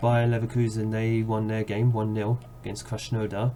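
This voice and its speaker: The man's voice is fairly low in pitch, somewhat breathy and dark and mellow in tone. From London, England. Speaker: video game streamer. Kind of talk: gameplay commentary; video outro. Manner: fast; casual, with filler uhs.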